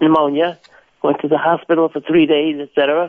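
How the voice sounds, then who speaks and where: A man is speaking. His pace is moderate. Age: 80s+. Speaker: caller. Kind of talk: phone-in question. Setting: phone call. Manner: halting.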